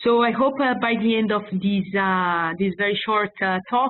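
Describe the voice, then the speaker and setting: A woman talks with a strong non-native accent. Her pace is moderate and her intonation fairly even. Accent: strong foreign. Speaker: public health officer. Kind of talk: webinar presentation. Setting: online webinar. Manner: halting, many fillers.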